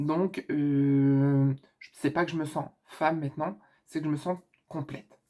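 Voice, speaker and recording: A woman talks at a fairly slow pace. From northern France. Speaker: YouTuber. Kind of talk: casual Q&A vlog. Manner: casual with many hesitations.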